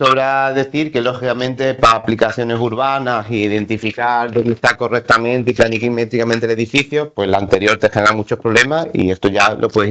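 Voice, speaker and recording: A man speaks in a plain, everyday voice at a medium pitch. His intonation is fairly even, with hardly any pauses. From Seville, Andalusia, Spain. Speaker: conference presenter, mapping agency staff. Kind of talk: conference presentation.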